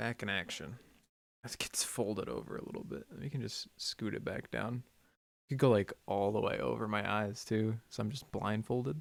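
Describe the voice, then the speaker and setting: Lively intonation from a man with a fairly low pitch and vocal fry, at a moderate pace. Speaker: sound designer streamer. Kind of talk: casual live stream commentary while working. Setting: live stream from home studio. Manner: casual, rambling.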